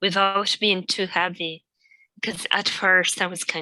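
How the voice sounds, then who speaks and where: A woman's fairly low voice with a non-native accent, very slow and monotone with flat intonation, in a dry, close sound with no echo. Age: 50s. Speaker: Joyce reader, reading group member. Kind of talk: casual chat. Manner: halting.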